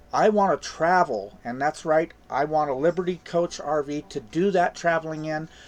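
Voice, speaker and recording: This man has an ordinary speaking voice, a fairly high pitch, ordinary pitch variation, and a fairly slow pace. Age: 60s. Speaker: crypto YouTuber. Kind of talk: casual video commentary.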